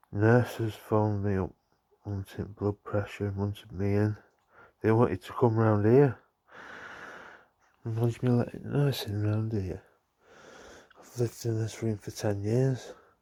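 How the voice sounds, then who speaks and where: A man mumbles in a northern English accent, his tone dark and mellow and his pitch fairly low. He moves at a fairly slow pace with fairly even intonation and long, frequent pauses, over a very clean recording with a silent background. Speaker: vlogger. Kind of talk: casual vlog chat. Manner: mumbling.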